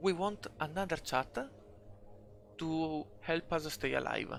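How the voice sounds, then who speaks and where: A man speaks with a non-native accent. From Italy. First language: Italian. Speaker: video game tutorial maker. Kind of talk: screen-recorded game tutorial. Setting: home recording, poor audio.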